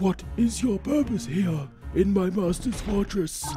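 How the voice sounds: Clear music plays in the background behind a creaky, put-on character voice of middle pitch. The pace is fairly slow.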